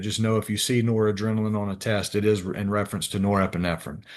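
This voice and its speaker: With a monotone, flat intonation, a man speaks at a very fast pace and a fairly low pitch. The background is quiet. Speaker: respiratory therapy instructor. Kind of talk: lecture. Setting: video call. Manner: halting.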